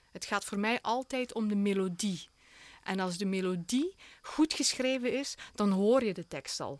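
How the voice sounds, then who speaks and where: Lively intonation marks this woman's medium-pitched voice at a fairly slow pace. The sound is dry and close, with no echo. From Belgian Limburg, Hasselt. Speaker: opera singer. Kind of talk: radio interview. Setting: radio studio.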